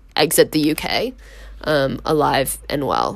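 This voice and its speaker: With an American accent and vocal fry, a woman talks in very wide pitch swings. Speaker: podcast host, university student. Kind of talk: casual monologue. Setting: dorm room. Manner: filler-heavy, frequent um and like.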